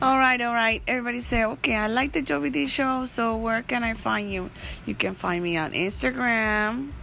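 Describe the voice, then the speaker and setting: With a Spanish accent, a woman talks at a moderate pace in a fairly high pitch with a bright, sharp tone. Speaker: podcaster. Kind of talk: casual chat.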